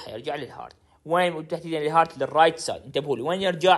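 With a Baghdadi accent, a man speaks in a fairly high pitch at a fairly quick pace. His tone is animated, with ordinary pitch variation. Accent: Iraqi Arabic (Baghdadi). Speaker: pharmacy tutor. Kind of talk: lecture.

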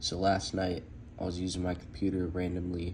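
A man with a very deep, low pitch, a somewhat breathy sound and a moderate pace. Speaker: tech tutorial maker. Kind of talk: screen-recorded tech tutorial narration. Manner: casual.

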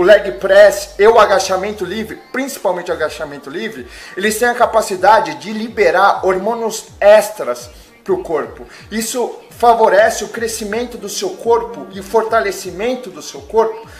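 Faint music sits behind a man with a high pitch, ordinary pitch variation and big swings in loudness. He keeps a moderate pace. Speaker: fitness vlogger. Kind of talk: casual fitness advice vlog. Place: home room. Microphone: webcam.

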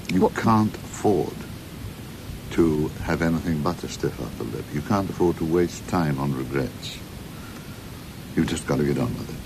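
Noticeable background noise sits under a voice at a moderate pace with ordinary pitch variation and long, frequent pauses. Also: man, very deep, low pitch for a man. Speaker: interviewee. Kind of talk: interview answer. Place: studio. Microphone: studio mic.

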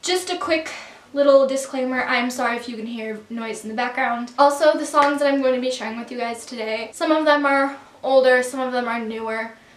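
Audible room echo surrounds a woman's high-pitched voice at a fairly quick pace. Her pitch variation is ordinary, with big swings in loudness. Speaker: vlogger. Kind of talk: casual vlog chat. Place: home room. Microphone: camera far.

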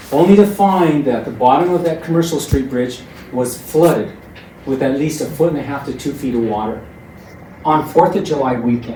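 A man speaks at a moderate pace in a fairly high pitch with ordinary pitch variation. There is noticeable background noise and audible room echo. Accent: American. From Trinidad, Colorado, US. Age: 60s. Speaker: public commenter at city council. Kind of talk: public comment. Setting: city council meeting.

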